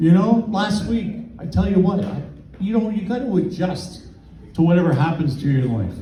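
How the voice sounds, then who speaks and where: In a Canadian accent, a man with a high pitch speaks with lively intonation, and room echo is audible. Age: 60s. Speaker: stand-up comedian. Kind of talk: stand-up. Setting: comedy club stage with audience.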